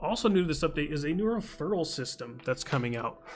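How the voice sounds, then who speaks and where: Music runs in the background as a man talks fairly quickly. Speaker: gaming content creator. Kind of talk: gaming update commentary.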